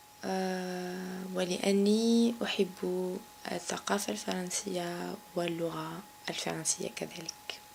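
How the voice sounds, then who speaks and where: A woman speaking at a very slow pace, her intonation fairly even, over noticeable background noise. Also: medium pitch for a woman. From Algeria, Kabylie. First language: Kabyle (speaking French). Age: 30s. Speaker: banker. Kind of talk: interview. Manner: halting, many fillers.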